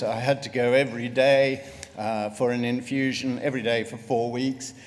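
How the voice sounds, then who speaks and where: Audible room echo around a man's voice at a medium pitch. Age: 60s. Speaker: retired GP and melanoma patient. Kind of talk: patient testimony talk.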